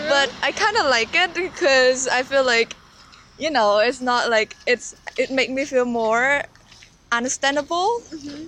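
A woman with a high voice talks at a fairly slow pace with ordinary pitch variation over noticeable background noise. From Cambodia. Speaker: university student. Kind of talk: interview. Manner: hesitant, many fillers.

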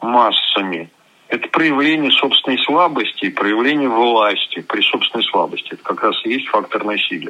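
A man keeps a moderate pace as noticeable background noise continues behind him. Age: 60s. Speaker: hunter and zoologist. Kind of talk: interview. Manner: blunt, terse.

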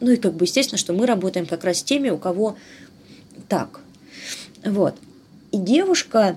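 At a moderate pace, a woman speaks in a dark, mellow tone with very wide pitch swings. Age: 40s. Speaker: human rights activist. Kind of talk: interview testimony. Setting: online call.

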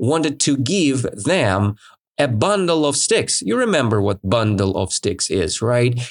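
Speaking very slowly with a Russian accent, a man swings his pitch very widely against a quiet background. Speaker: English teacher and podcast host. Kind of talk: language lesson storytelling; event announcement. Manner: energetic, enthusiastic.

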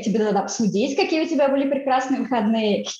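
A woman talks at a fairly quick pace, with audible echo in the room. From Russia. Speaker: author of a book on emigration. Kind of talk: interview. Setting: remote call from California.

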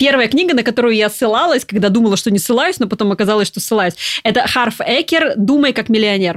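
A woman with a fairly high pitch and an animated tone, at a very fast pace. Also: lively intonation. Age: 30s. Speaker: coach and brain researcher. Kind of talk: casual chat.

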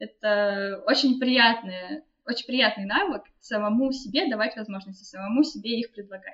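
The woman's voice is fairly high-pitched and somewhat breathy. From Russia. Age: 20s. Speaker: BIM developer. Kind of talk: interview.

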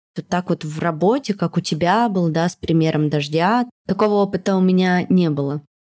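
A woman with a fairly low, dark and mellow voice talks at a moderate pace on a very clean, silent recording with a dry, close sound and no echo. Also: ordinary pitch variation. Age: 30s. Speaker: podcast host and producer. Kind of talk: casual chat.

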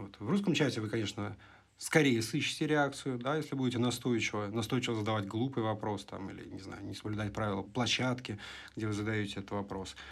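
This is a normal speaking voice with ordinary pitch variation at a fairly quick pace. Its loudness swings widely. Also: man, medium pitch for a man. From Russia. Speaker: podcast co-host. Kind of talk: casual chat.

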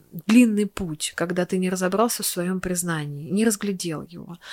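A woman with ordinary pitch variation, on a very clean recording with a silent background and a dry, close sound with no echo. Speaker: cosmetology clinic owner. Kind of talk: casual chat.

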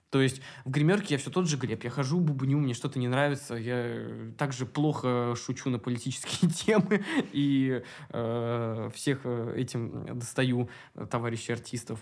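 He has a plain, everyday voice at a medium pitch, speaking at a fairly slow pace with ordinary pitch variation. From Moscow, Russia. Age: 20s. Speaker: drag and burlesque performer. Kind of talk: casual interview chat.

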